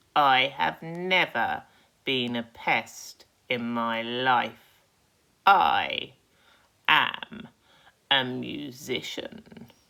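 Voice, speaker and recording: In a put-on character voice of low-to-middle pitch, the speaker goes at a very slow pace with long, frequent pauses. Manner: slow, scornful.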